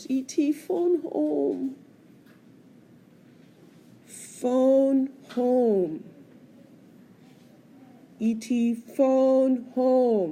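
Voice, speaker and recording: A put-on, croaky character voice from a woman, high-pitched and very slow, broken by long, frequent pauses. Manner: pleading.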